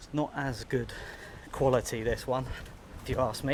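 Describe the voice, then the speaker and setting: A man speaks quietly at a medium pitch. His pace is fairly quick. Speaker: travel vlogger. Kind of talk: walking vlog to camera. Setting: outdoors on a beach. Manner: talking quietly.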